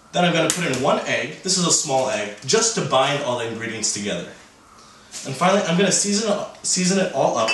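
Through audible room echo and noticeable background noise, a man talks at a fairly quick pace. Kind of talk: cooking tutorial. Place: kitchen.

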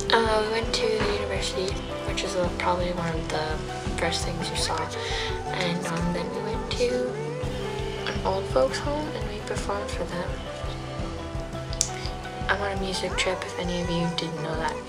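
Over loud background music, a woman speaks with long, frequent pauses. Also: moderate pace. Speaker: vlogger. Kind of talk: casual vlog chat. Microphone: phone near.

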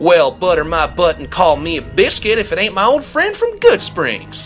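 A man puts on a robotic character voice at a moderate pace, with clear music playing in the background. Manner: folksy, jovial.

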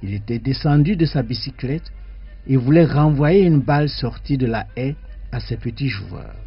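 A man talks at a very slow pace with ordinary pitch variation. Faint music sits in the background. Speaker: radio guest. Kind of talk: reading aloud from a book. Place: studio.

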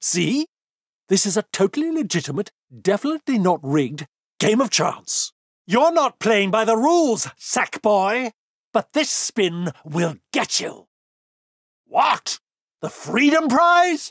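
A put-on character voice at a fairly slow pace, with very wide pitch swings and long, frequent pauses. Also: man, high pitch for a man. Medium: dub. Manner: theatrical, gloating, mocking.

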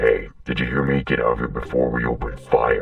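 A man speaks at a fairly quick pace in a very deep, low voice. Background noise is clearly audible. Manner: irritable, aggressive.

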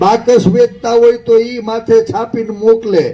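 Dark, mellow tone in a man's high-pitched speech. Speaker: opposition politician. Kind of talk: rally speech. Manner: animated.

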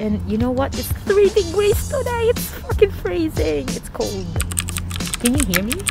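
A woman at a fairly slow pace, dry with no echo, clear music in the background. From Philippines, Davao region. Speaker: vlogger. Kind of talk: casual talk to camera. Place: waterside. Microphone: phone near.

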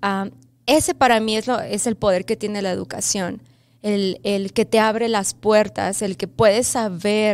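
A woman with a Mexico City accent speaks at a fairly slow pace. Her intonation stays fairly even. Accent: Mexican Spanish (Mexico City). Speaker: first grade bilingual teacher. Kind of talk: interview. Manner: hesitant with fillers. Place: studio. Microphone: studio mic.

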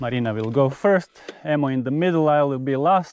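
Against a quiet background, a man speaks in a dry sound with no echo. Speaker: mountain biker vlogger. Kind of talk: casual vlog chat. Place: open country. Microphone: camera far.

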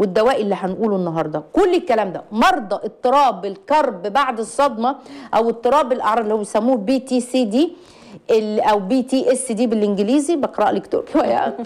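Animated and fairly quick, a woman speaks in a fairly high pitch with very wide pitch swings. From Egypt. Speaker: psychologist; guest. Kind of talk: call-in advice show. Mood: impassioned, distressed in places. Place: studio. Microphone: lapel.

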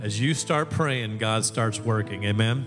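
Clear music plays in the background while a man speaks. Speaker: pastor. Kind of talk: sermon. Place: church. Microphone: handheld.

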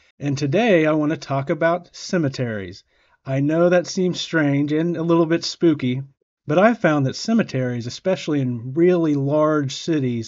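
A man, recorded with a quiet background, talks at a moderate pace, his pitch varying in an ordinary way. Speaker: car-living vlogger. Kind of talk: tutorial. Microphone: webcam.

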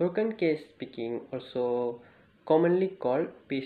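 Audible room echo surrounds a man talking at a fairly slow pace with ordinary pitch variation.

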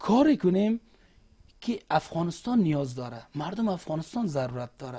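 Against a quiet background, a man talks at a high pitch with a dark, mellow tone. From Afghanistan, Faryab (Maimana); Afghanistan. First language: Uzbek (speaking Persian). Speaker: government official; interview guest. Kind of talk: TV interview. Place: studio.

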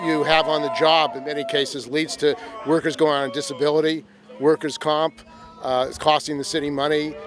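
Over music in the background, a man talks fairly quickly in a fairly high voice with ordinary pitch variation and a dry sound with no echo. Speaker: video journalist. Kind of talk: street interview. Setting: outdoor rally. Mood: earnest, critical. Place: street.

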